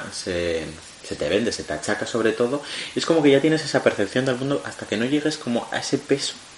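A man's voice amid noticeable background noise. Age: 20s. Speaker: podcast co-host. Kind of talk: casual chat.

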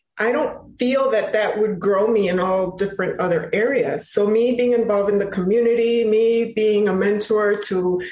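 A woman with an American accent speaks at a medium pitch and a moderate pace. Her intonation stays fairly even, and the room has an audible echo. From Chicago, US. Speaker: finance and real estate professional. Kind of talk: interview.

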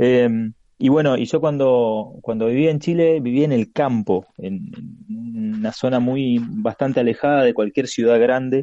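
A man with a Rioplatense accent speaks at a fairly slow pace in a medium pitch, with ordinary pitch variation, a dark, mellow tone and a dry, close sound with no echo. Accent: Argentine Rioplatense Spanish. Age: 40s. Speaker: comics podcaster. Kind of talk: casual interview chat.

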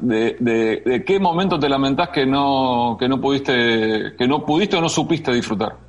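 Noticeable background noise sits behind a man speaking at a moderate pace. His voice is fairly high, with lively intonation. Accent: Argentine. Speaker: sports radio host. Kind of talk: interview.

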